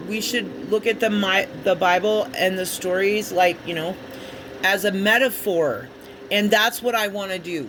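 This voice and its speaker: A fairly slow voice with an American accent over noticeable background noise. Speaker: spiritual tarot reader. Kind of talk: casual spiritual monologue. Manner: halting, many fillers.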